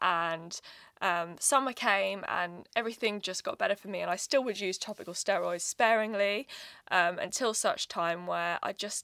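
Recorded very cleanly against a silent background, a woman with a medium pitch and a bright, sharp tone talks at a moderate pace in a dry, close sound with no echo. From Birmingham, England. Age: 20s. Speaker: wellness influencer and finance executive. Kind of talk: casual interview.

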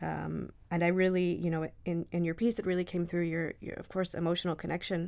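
Speaking at a fairly quick pace with a Midwestern accent, a woman keeps her fairly low pitch flat and monotone. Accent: American Midwest. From US Midwest (Michigan). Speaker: journalist and editor. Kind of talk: casual interview conversation. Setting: studio.

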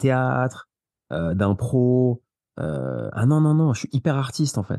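At a fairly slow pace, a man speaks at a medium pitch, the sound dry and close with no echo. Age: 30s. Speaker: property investor. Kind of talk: interview. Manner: animated.

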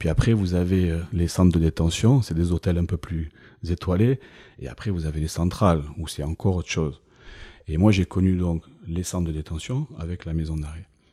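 The voice has a dark, mellow tone, a moderate pace and ordinary pitch variation. The recording is very clean with a silent background and a dry, close sound with no echo. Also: man, very deep, low pitch for a man. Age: 50s. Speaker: ex-prisoner and business owner. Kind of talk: interview testimony.

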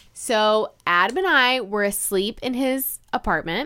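In an American accent, a woman with an unremarkable speaking voice talks in a fairly high pitch with lively intonation on a very clean recording with a silent background. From North Carolina. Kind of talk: casual chat.

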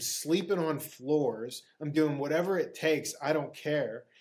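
An unremarkable speaking voice with an American accent carries fairly even intonation. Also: man. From Pittsburgh, US. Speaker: actor. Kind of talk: casual interview chat.

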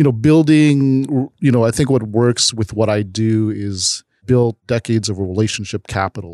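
Recorded dry and close with no echo, a man with a Chicago accent talks at a moderate pace with hardly any pauses, his dark, mellow voice sitting at medium pitch with ordinary pitch variation. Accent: Chicago American English. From US Midwest, Chicago. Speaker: nonprofit founder and nightlife promoter. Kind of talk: interview.

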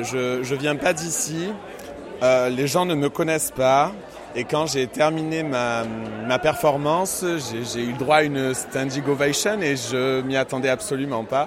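A man speaks at a very slow pace in a fairly high pitch. Crowd noise sits in the background. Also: ordinary pitch variation. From Marseille, southern France. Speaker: drag queen, cabaret singer. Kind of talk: interview. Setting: live event venue.

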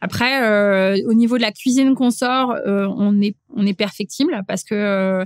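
Very slow delivery with ordinary pitch variation and very even loudness, in a dry, close sound with no echo. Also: woman, fairly high pitch for a woman. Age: 40s. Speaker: chef. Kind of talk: interview conversation. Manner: hesitant, many fillers.

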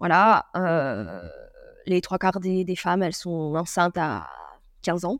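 At a very slow pace, a woman speaks with long, frequent pauses. Her fairly low pitch shows ordinary pitch variation. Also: very clean recording, silent background. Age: 20s. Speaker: surfer and traveller. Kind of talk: casual interview.

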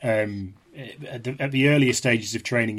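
A man with an East Midlands accent, very fast pace and monotone, flat intonation, on a very clean recording with a silent background. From England, Leicestershire. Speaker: historian and author. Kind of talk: interview discussion. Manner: halting, repeats words.

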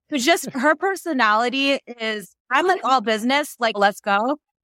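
A plain, everyday voice with an American accent speaks at a fairly slow pace with lively intonation. The recording is very clean, with a silent background and a dry, close sound with no echo. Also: woman. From New Jersey, US. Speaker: anesthesiologist and podcaster. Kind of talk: casual interview.

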